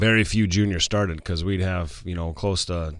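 A man with an Upper Midwest accent speaks in a very deep, low pitch with fairly even intonation. The recording is very clean, with a silent background. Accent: Upper Midwest American. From South Dakota, West River (Martin, Sturgis). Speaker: high school football coach. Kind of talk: casual interview. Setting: studio.

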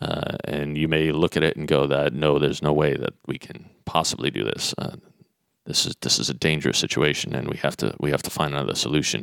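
With an American accent and vocal fry, a man speaks at a fairly quick pace in a very deep, low pitch and fairly even intonation. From Netherlands and US, mostly US. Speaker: lighting designer. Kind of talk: interview. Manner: halting.

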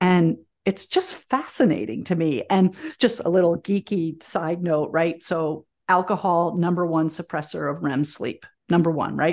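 Over a quiet background, a woman with a normal speaking voice and a fairly low pitch talks at a moderate pace. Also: ordinary pitch variation. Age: 50s. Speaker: herbalist and teacher. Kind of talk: interview conversation.

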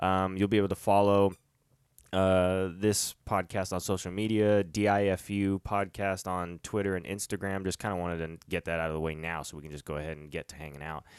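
In a very clean recording with a silent background and a dry, close sound with no echo, a man with a very deep, low pitch talks at a fairly quick pace, his intonation fairly even but his loudness swinging widely. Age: 30s. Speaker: podcast host. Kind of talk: casual chat.

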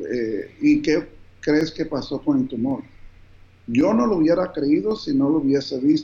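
A man with a dark, mellow tone talks at a very slow speed. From New Jersey, raised by Colombian parents. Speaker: physician. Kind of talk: interview.

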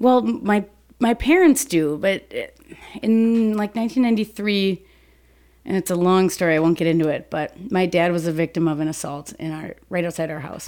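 This is a plain, everyday voice with lively intonation. The pace is moderate. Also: woman, medium pitch for a woman. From US Midwest, Saint Paul Minnesota. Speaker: police officer. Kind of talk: casual interview.

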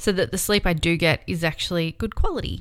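With an Australian accent, the speaker moves at a fairly quick pace and keeps the intonation fairly even on a very clean recording with a silent background. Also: woman. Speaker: podcast host. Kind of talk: personal monologue.

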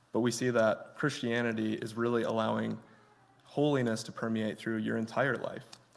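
Speaking at a moderate pace with an American accent, the man is heard with audible room echo. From Michigan. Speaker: guest preacher. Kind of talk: sermon.

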